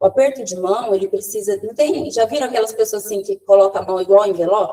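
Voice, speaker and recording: Delivered at a very fast pace, the speech is animated, with ordinary pitch variation and big swings in loudness. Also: woman, fairly high pitch for a woman. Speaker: communication trainer. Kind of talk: online training talk. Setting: video call.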